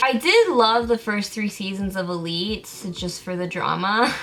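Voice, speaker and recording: With music in the background, a woman with a Californian accent talks at a moderate pace and medium pitch in an animated tone. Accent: Californian-sounding American. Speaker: film and TV YouTuber. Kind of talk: casual Q&A vlog.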